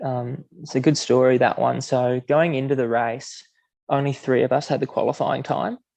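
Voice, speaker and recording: Speaking in an Australian accent, a man talks at a medium pitch and a moderate pace with fairly even intonation. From Queensland, Australia. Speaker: middle-distance runner. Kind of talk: podcast interview answer. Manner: quietly spoken.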